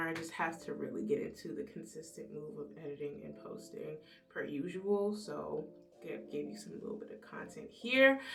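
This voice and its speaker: Music plays in the background as a woman speaks with lively intonation. Her moderate-paced voice carries an audible room echo. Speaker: beauty vlogger. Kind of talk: makeup tutorial vlog. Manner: animated.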